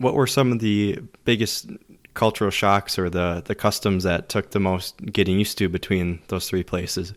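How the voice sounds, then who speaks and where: In a very clean recording with a silent background, a man speaks in a normal speaking voice at a fairly low pitch, with fairly even intonation and a moderate pace. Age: 20s. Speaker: podcast host. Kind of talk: interview.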